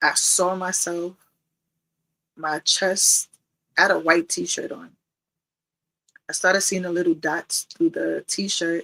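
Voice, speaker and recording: A woman with a New York accent, at a very slow pace with long, frequent pauses, in a dry, close sound with no echo. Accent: New York (Bronx). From New York City, the Bronx. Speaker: domestic violence survivor. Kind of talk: testimony.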